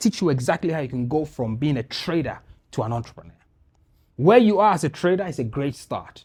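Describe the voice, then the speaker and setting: A man speaks at a fairly quick pace with a fairly high pitch, a dark, mellow tone and very wide pitch swings. The recording is very clean, with a silent background. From Ghana. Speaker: business podcast host and speaker. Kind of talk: business masterclass presentation. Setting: live event with audience in studio. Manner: fast; animated.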